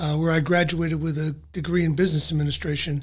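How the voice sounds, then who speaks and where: Speaking in a Philadelphia accent, a man keeps a moderate pace and fairly even intonation. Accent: Philadelphia-area American. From South Jersey, US. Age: 70s. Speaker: retired civil servant. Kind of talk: interview. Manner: halting.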